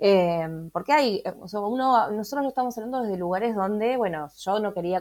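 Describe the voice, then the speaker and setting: A woman's plain, everyday voice at a moderate pace with ordinary pitch variation. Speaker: podcast co-host, tarot reader, sociologist. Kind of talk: casual chat.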